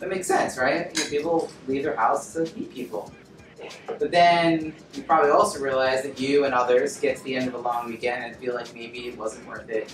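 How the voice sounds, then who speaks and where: Music plays in the background as a man talks at a fairly quick pace with ordinary pitch variation. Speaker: speaker. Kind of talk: presentation talk to audience. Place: meeting room.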